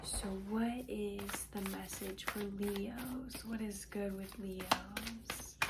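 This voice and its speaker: A woman speaks quietly at a very slow pace. Noticeable background noise and audible room echo surround her voice. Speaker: tarot and intuitive reader. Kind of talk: intuitive card reading to viewers.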